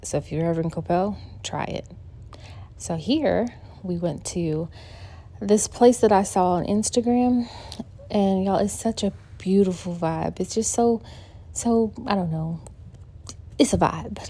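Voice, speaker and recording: A woman talks in an upbeat tone with a dark, mellow sound. Her speech has long, frequent pauses. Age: 50s. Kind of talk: casual vlog talk to camera. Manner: upbeat, chatty.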